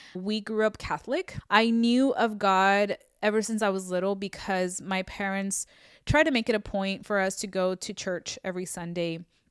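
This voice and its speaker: A woman with a Spanish accent at a moderate pace, dry and close with no echo, on a very clean recording with a silent background. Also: medium pitch for a woman, ordinary pitch variation. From US, Mexican-American family (moved from Mexico at two). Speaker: faith podcaster. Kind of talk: testimony. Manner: casual, conversational with self-corrections.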